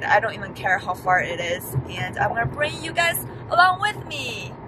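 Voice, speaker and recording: The voice shows very wide pitch swings. Noticeable background noise is present. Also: woman, dry sound with no echo. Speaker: plant vlogger. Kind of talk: casual vlog chat. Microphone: phone near.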